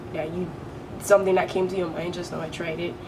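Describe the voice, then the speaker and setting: A woman with a Caribbean accent speaks at a fairly low pitch, with audible room echo and noticeable background noise. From British Virgin Islands. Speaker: beauty vlogger. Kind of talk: makeup tutorial. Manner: casual, chatty.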